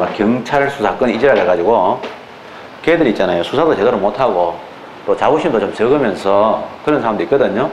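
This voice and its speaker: A man talks with lively intonation while audible room echo and noticeable background noise fill the recording. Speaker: law exam lecturer. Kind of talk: lecture. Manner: casual, colloquial digressions.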